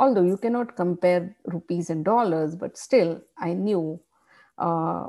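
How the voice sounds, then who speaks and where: The voice has a dark, mellow tone and moves at a fairly slow pace in a very clean recording with a silent background. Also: woman. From India, Mumbai. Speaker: social worker. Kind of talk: interview. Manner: halting, with many fillers.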